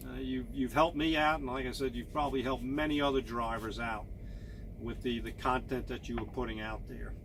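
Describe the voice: At a fairly quick pace, a man speaks with medium pitch and fairly even intonation.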